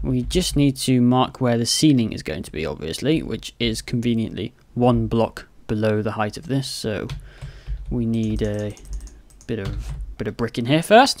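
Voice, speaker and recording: The speaker talks at a fairly slow pace. The voice carries a British accent. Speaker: Minecraft let's play builder. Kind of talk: gaming tutorial commentary.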